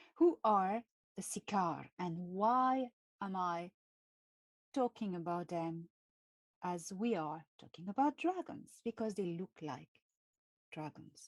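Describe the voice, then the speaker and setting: Speaking in a French accent, a woman at medium pitch talks at a very slow pace with long, frequent pauses and lively intonation. The sound is dry and close, with no echo. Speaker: channel host, speaker on extraterrestrial topics. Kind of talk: live stream talk. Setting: live video stream. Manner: halting, with many fillers.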